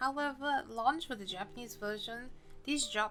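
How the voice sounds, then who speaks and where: A woman's fairly high voice with lively intonation at a moderate pace, music playing in the background. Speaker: game guide youtuber. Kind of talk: scripted narration. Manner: stiff; stuttering.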